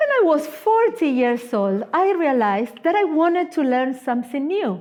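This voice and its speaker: A woman speaks in an Argentine accent at a moderate pace. Her high pitch moves in very wide swings. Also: very even loudness. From Argentina. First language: Spanish. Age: 50s. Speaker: guest preacher, missionary. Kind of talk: sermon. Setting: church.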